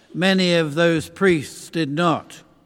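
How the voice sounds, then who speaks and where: Recorded very cleanly against a silent background, a man with a southern English accent speaks very slowly in a fairly high pitch. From London, England. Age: old. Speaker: visiting preacher. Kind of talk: sermon. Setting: church.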